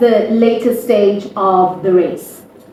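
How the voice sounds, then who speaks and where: Amid noticeable background noise and audible room echo, a woman is heard talking. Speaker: awards event host. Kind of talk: awards ceremony hosting. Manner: animated.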